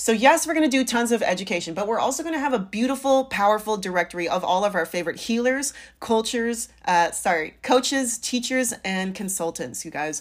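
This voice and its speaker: An animated speaker with an American accent talks at a fairly quick pace, with lively intonation and hardly any pauses. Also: woman, fairly high pitch for a woman. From US West Coast, San Francisco Bay Area. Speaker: podcast host and life coach. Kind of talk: casual solo podcast monologue.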